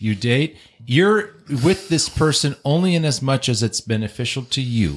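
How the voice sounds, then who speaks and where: At a moderate pace and medium pitch, a man speaks in a somewhat breathy voice whose pitch swings very widely while the loudness stays very even. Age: 50s. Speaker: divorced father. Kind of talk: casual chat.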